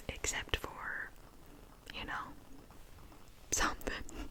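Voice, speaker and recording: A woman speaks in a whisper. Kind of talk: ASMR whispered true scary story telling. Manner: whispering, soft, conversational.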